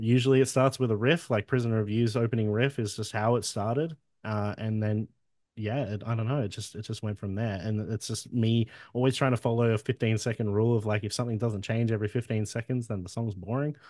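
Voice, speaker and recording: Against a quiet background, dry and close with no echo, a man with an Australian accent talks at a very fast pace with medium pitch and fairly even intonation. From Wollongong, Australia. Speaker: musician, singer in a band. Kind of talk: casual interview chat. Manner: casual, swears a lot.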